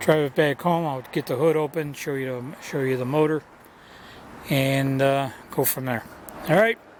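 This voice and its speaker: Noticeable background noise under fairly slow speech. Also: man. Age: 70s. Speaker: used car dealer. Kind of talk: sales pitch. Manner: halting.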